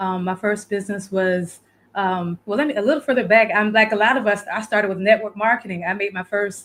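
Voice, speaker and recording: In a Southern US accent, a woman speaks at a moderate pace. Her pitch sits fairly high. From South Florida. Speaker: virtual producer and community builder. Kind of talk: interview.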